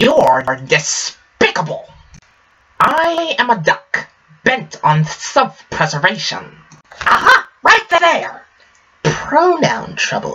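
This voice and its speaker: A man in a put-on character voice crawls along at a very slow pace, leaving long, frequent pauses. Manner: indignant, blustering.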